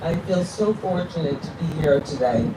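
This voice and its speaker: A woman with a very deep, low pitch and lively intonation at a fairly slow pace, amid noticeable background noise and audible room echo. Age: 60s. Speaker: person living with ALS, advocate. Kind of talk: prepared speech. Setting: outdoor stage on National Mall.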